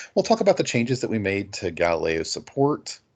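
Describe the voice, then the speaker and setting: Someone talks at a fairly quick pace over a quiet background. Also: man. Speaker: library database trainer. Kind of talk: webinar training presentation. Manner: fast; many filler words. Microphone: video call.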